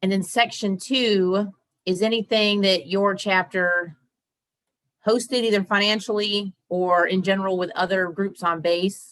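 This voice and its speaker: A woman with a normal speaking voice talks at a fairly slow pace and medium pitch. Her intonation is fairly even and her loudness very even. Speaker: Air Force member, association chapter officer. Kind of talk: training presentation.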